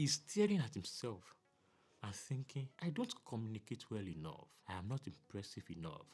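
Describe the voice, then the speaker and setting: The voice is somewhat breathy, moving at a fairly quick pace. Its pitch swings very widely. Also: man. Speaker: self-help video creator. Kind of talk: motivational talk. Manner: reflective, earnest.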